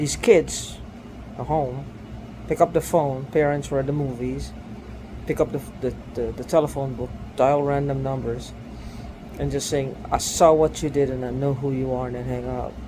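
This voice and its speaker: With noticeable background noise around him, a man speaks with long, frequent pauses. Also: moderate pace. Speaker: video blogger. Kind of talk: personal video monologue. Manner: halting.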